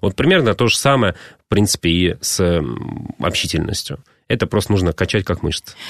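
Speaking at a fairly quick pace yet with long, frequent pauses, a man uses a very deep, low pitch with ordinary variation and very even loudness, the sound dry and close with no echo over a quiet background. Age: 30s. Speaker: fitness trainer. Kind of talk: radio interview. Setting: radio studio.

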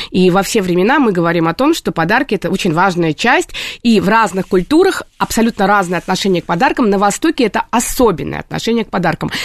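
A woman at a very fast pace and medium pitch, lively intonation and very even loudness, in a dry, close sound with no echo. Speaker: psychologist. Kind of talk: radio talk show interview. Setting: radio studio.

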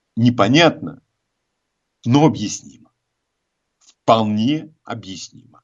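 At a slow pace, a man speaks at a medium pitch with lively intonation.

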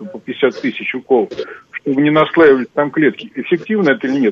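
A man with a normal speaking voice and a fairly high pitch talks at a fairly quick pace with ordinary pitch variation. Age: 60s. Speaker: caller, retired security officer. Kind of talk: phone-in question. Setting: phone call.

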